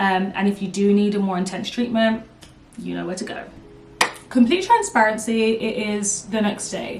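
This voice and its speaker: Over noticeable background noise and audible room echo, a woman talks at a moderate pace with a medium pitch and ordinary pitch variation. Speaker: beauty YouTuber. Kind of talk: casual vlog Q&A.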